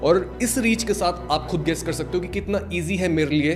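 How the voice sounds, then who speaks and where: A man speaks in a high voice with ordinary pitch variation while music plays in the background. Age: 20s. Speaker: self-help YouTuber and entrepreneur. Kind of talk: motivational talk to camera.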